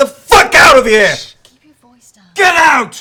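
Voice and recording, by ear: A man's put-on character voice, shouting at an extremely high pitch and a fairly slow pace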